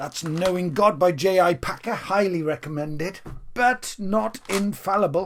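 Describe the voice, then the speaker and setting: A man with a Welsh accent at a very slow pace. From Wales. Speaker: music fan vlogger. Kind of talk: casual video monologue. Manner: animated; off-the-cuff.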